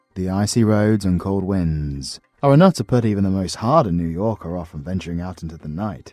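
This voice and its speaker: A British accent with music in the background. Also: man. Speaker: voice actor. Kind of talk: audiobook narration.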